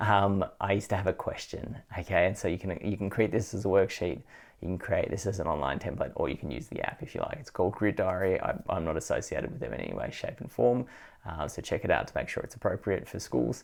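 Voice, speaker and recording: A man talks at a very fast pace. The recording is very clean, with a silent background. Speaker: education trainer. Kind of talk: video tutorial. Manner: casual with many fillers.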